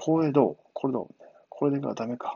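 A man's voice at medium pitch. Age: 30s. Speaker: former cook turned programming student. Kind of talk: solo monologue podcast. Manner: casual, filler-heavy.

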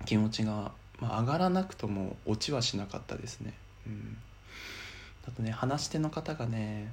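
Somewhat breathy, a man talks with lively intonation and long, frequent pauses. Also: medium pitch for a man, moderate pace. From Miyagi, Japan. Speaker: podcaster. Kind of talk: personal monologue.

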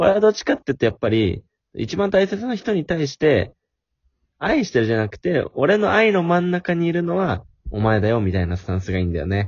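Somewhat breathy, this man's voice swings very widely in pitch. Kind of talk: casual chat.

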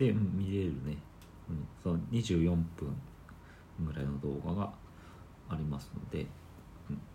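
A man with a very deep, low pitch and a dark, mellow tone speaks at a moderate pace, with vocal fry and long, frequent pauses. Room echo is audible. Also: lively intonation. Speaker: podcast host. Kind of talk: casual chat.

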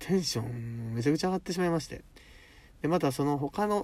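A dark, mellow, somewhat breathy voice at a very fast pace with lively intonation. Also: man. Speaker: podcast host. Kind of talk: casual monologue. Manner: animated.

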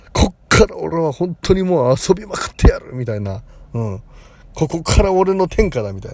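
A high-pitched man at a moderate pace, with very wide pitch swings, big swings in loudness and noticeable background noise. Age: 40s. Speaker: psychic comedian and podcaster. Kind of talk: casual monologue. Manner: rambling, conversational.

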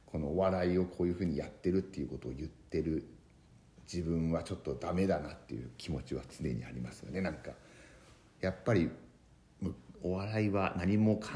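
With a very deep, low pitch and vocal fry, a man talks in a dark, mellow tone at a fairly quick pace, with ordinary pitch variation and long, frequent pauses. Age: 30s. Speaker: comedian. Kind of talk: podcast monologue. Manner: halting.

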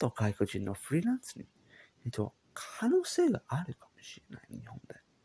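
A man speaks with a somewhat breathy, dark and mellow tone. The sound is dry and close, with no echo. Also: very clean recording, silent background. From England. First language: English (speaking Japanese). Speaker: podcaster. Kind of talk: casual monologue. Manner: halting.

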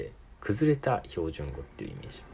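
Talking at a fairly quick pace, a man with a dark, mellow tone and vocal fry swings very widely in pitch. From Tokyo, Japan. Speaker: podcast host. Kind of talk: casual solo chat.

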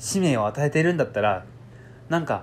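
His intonation is lively. The man's voice carries a somewhat breathy quality. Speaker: podcast host and writer trainer. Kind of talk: solo monologue. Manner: fast, sometimes stumbling.

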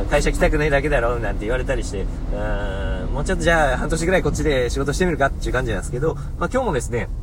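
A man talks very fast. Background noise is noticeable, and room echo can be heard. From Hokuriku, Japan. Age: 30s. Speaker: podcaster, office worker. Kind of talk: solo talk radio monologue. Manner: polite, formal with many fillers.

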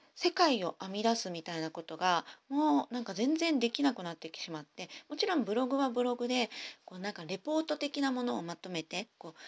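A woman's fairly high voice moves through very wide pitch swings and big swings in loudness. The sound is dry and close, with no echo. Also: fairly quick pace. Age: 40s. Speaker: podcast host. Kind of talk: casual monologue. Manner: fast.

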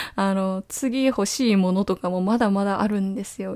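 A woman speaks with a normal speaking voice at a medium pitch and ordinary pitch variation. The recording is very clean, with a silent background. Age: 20s. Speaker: web writer and podcaster. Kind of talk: solo monologue. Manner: casual, many fillers.

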